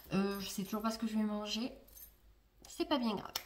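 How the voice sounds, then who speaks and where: A woman speaks at a fairly high pitch with fairly even intonation. Noticeable background noise runs under her voice. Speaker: vlogger. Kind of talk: casual vlog talk to camera. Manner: soft-spoken; trying to speak louder than usual.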